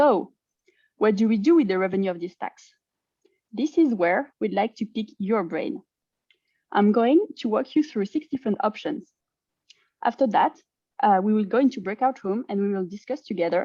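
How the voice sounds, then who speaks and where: With a French accent, a woman talks at a moderate pace in a fairly high pitch, her lively intonation broken by long, frequent pauses, her dark, mellow tone captured with a dry, close sound with no echo over a quiet background. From France. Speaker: climate advocacy presenter. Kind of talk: presentation.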